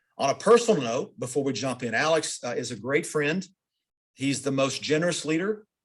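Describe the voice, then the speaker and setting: A man talks with lively intonation in a plain, everyday voice. The recording is very clean with a silent background. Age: middle-aged. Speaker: interviewer for a company's internal training program. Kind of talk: interview.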